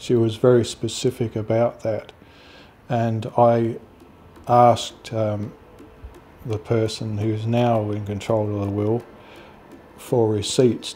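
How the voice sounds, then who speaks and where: With an Australian accent, a man talks at a medium pitch in a flat monotone. His pace is very slow, with long, frequent pauses. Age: 60s. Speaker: grieving son. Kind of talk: interview testimony.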